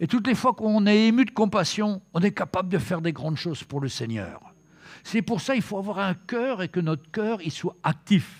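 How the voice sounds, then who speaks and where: This man has a high pitch and lively intonation. The recording is very clean, with a silent background. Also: moderate pace. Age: 70s. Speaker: preacher. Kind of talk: sermon. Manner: halting.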